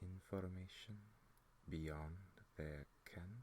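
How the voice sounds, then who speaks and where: A soft-spoken, somewhat breathy man with ordinary pitch variation. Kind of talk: ASMR book reading, soft-spoken. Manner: soft-spoken, very slow, hypnotic.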